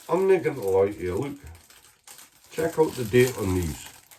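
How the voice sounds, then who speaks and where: This man has a medium pitch and swings it up and down very widely. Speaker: home cooking vlogger. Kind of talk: casual cooking vlog. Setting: home kitchen. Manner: casual, sweary.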